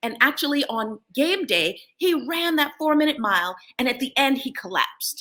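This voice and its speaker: Raising and projecting her voice, a woman with an American accent speaks high and with very wide pitch swings. Her tone is bright and sharp, and she hardly pauses. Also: moderate pace. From United States, with school years in Jamaica. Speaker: talk show host and life coach. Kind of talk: motivational talk.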